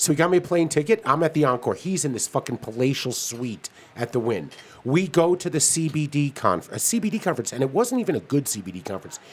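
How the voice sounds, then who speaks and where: A man with a fairly high pitch speaks at a fairly quick pace with very wide pitch swings. Noticeable background noise is present. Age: 50s. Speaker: cannabis podcast co-host. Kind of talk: casual chat.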